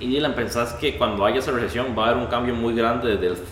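Noticeable background noise and audible room echo surround this recording. A man talks at a fairly quick pace, medium in pitch. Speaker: podcast co-host. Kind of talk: interview.

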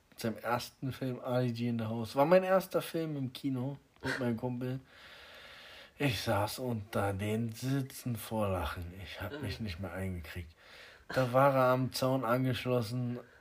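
A medium-pitched man at a fairly slow pace, with ordinary pitch variation. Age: 30s. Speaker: podcast host. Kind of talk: casual chat. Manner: animated.

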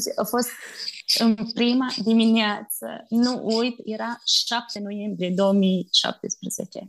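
A woman's very slow, monotone, flat delivery. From Romania, Bistrița. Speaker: missionary. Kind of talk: interview testimony.

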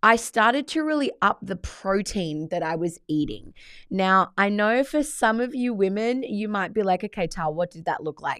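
In an Australian accent, a woman speaks at a moderate pace in a medium pitch, with lively intonation and an animated tone. The recording is very clean, and the background is silent. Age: 30s. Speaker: podcast host, life coach. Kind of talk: solo podcast monologue.

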